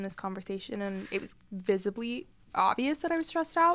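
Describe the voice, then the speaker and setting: This is a woman with an American accent. Her pitch sits in the medium range. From US South. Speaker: podcast co-host. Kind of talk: casual chat.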